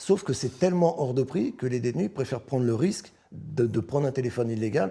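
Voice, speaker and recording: With a dark, mellow tone and a somewhat breathy edge, this man speaks at a medium pitch with ordinary pitch variation. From Paris, 18th arrondissement. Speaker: former prisoner. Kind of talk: interview.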